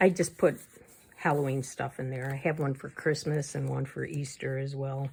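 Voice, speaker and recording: A woman with a very deep, low pitch speaks in a somewhat breathy voice with flat, monotone intonation. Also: moderate pace. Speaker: crafting YouTuber. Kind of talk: casual flip-through tutorial.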